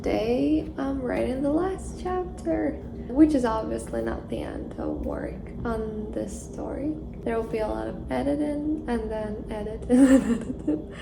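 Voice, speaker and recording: Noticeable background noise accompanies a woman who talks at a moderate speed. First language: not English. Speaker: fiction writer. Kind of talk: reflective vlog narration.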